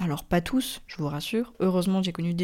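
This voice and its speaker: In a very clean recording with a silent background, a woman speaks at a moderate pace with a fairly low pitch and a dark, mellow tone. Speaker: podcaster. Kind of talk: personal monologue. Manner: casual, with hesitations.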